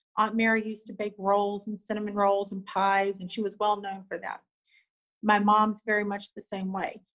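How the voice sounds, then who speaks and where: A woman with a Southern US accent, medium pitch, a moderate pace and big swings in loudness. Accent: Southern country. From US South, rural. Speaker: business owner. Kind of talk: casual interview chat. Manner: animated.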